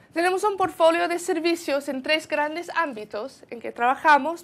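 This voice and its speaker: This is a woman speaking with a South African accent. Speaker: sustainability consultant at a university centre. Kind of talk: conference presentation. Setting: event with audience. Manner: halting, many repetitions.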